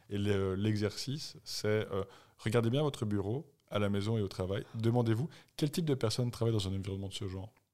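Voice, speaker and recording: Over a very clean recording with a silent background, a man with an ordinary speaking voice talks fairly quickly in a fairly low pitch. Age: 40s. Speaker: podcast co-host, runner. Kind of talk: casual chat.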